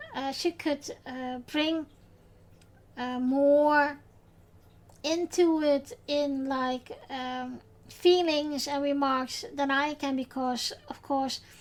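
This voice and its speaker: Speaking with a Dutch accent, a woman with a high pitch talks at a very slow pace, her intonation fairly even and her pauses long and frequent. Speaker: podcast host. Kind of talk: podcast recap, personal tribute. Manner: halting, many fillers.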